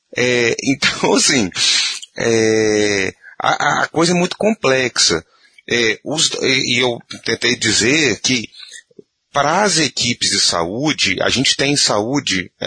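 A man at a medium pitch speaks very slowly with lively intonation, a bright, sharp tone and very even loudness, in a dry, close sound with no echo. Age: 40s. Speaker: physician, organ procurement coordinator. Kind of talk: casual discussion. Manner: animated.

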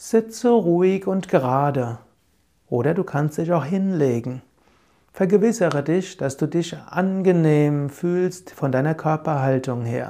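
A man with a fairly high pitch and a dark, mellow tone speaks very slowly, his intonation lively. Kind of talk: guided meditation. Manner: calm, gentle, soothing; slow, measured, with repeated phrases.

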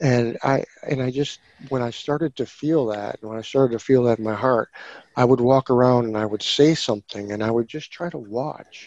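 The sound is dry and close with no echo. A man with a plain, everyday voice talks at a fairly quick pace with fairly even intonation. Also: medium pitch for a man. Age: 40s. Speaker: podcast guest sharing psychedelic experiences. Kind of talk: casual interview, personal storytelling.

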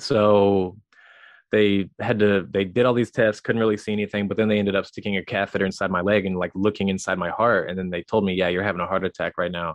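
Against a quiet background, a man with an American accent uses a normal speaking voice, pitched fairly low, with fairly even intonation and a fairly quick pace. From US Midwest, rural Missouri. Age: 30s. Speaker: cartoonist, comedian and entrepreneur. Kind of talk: podcast interview.

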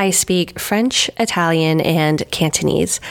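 This woman speaks at a very slow pace with an American accent. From US West Coast, Los Angeles. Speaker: pastry chef. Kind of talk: casual interview chat. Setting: video call.

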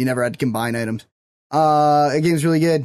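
With a normal speaking voice, a man talks at a fairly high pitch with ordinary pitch variation. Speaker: podcast co-host. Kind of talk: casual banter.

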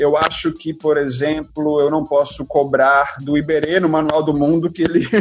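A man with a fairly high pitch talks at a moderate pace in monotone, flat intonation, with hardly any pauses. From Brazil, Belo Horizonte then Fortaleza from early teens. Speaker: biology professor and science communicator. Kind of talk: casual interview.

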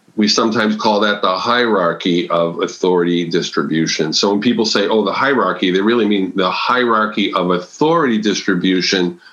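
Someone with an American accent talks at a fairly quick pace, with hardly any pauses and very even loudness. Pitch varies in an ordinary way, and there is noticeable background noise. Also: man, fairly low pitch for a man. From New England, Massachusetts. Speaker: agile consultant and author. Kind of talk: podcast interview.

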